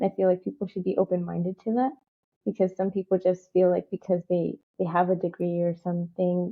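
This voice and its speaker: At a fairly quick pace, a woman talks with a medium pitch and a slight non-native accent. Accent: slight non-native, barely noticeable. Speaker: community advocate. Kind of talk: interview. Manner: casual, filler-heavy.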